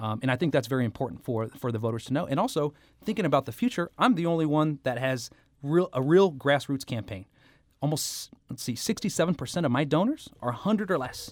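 A man speaks in a normal speaking voice, fairly high in pitch, at a fairly quick pace with lively intonation. The recording is very clean with a silent background. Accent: American. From Kansas City, Missouri. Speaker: political candidate. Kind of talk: political interview.

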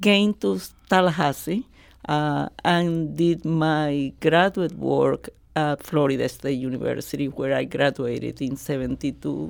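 Speaking at a fairly slow pace, a woman with a strong Colombian accent has a very deep, low pitch. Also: ordinary pitch variation. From Colombia, Barranquilla. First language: Spanish. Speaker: retired radiology professor. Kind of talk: radio interview.

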